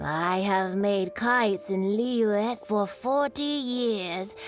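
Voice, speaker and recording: In a put-on character voice, a woman speaks at a medium pitch and a very slow pace, with clear music in the background. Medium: video game.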